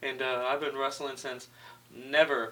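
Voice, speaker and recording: Clear background noise accompanies a voice with an American accent. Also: man. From California, Orange County. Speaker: pro wrestler. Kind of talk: interview.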